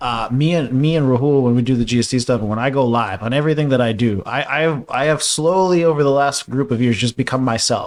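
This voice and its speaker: A man's medium-pitched voice at a very fast pace, with ordinary pitch variation and hardly any pauses. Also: very clean recording, silent background. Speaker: marketing agency owner and business coach. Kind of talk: podcast interview. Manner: animated.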